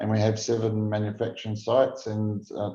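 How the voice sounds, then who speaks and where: Against a quiet background, a man with a New Zealand accent speaks at a moderate pace with a fairly low pitch and a dark, mellow tone. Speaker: food safety executive. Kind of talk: conference presentation. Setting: virtual conference. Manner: halting with repeated false starts.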